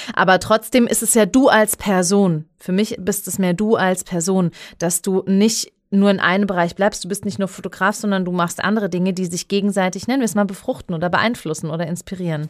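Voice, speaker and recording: A woman with a Palatine accent talks at a fairly quick pace, hardly pausing. Her pitch is medium, and the recording is very clean with a silent background. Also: fairly even intonation. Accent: Kurpfalz. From Heidelberg, Germany (Pfaffengrund). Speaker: podcast host. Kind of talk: casual interview chat.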